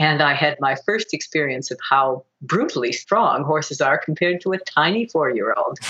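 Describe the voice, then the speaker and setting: A woman with an American accent and a normal speaking voice, fairly low in pitch, with ordinary pitch variation and a moderate pace. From US Midwest, Michigan. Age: 60s. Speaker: Olympic dressage rider. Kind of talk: interview.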